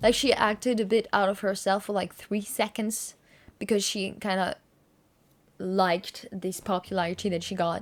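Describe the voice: At a fairly slow pace, a woman speaks at a medium pitch with little pitch movement.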